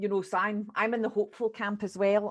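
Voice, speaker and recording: A woman with a Scottish accent speaks at a medium pitch. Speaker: early years educator. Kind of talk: group discussion.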